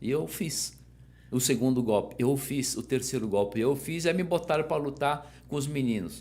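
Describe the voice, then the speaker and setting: A man's medium-pitched voice with vocal fry at a moderate pace. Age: 60s. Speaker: judo master. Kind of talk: interview. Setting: podcast.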